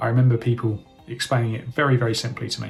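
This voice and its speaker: Music plays in the background as a man with a British accent talks at a medium pitch and a fairly quick pace. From UK. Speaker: online business educator. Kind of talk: tutorial. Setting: screen-share recording.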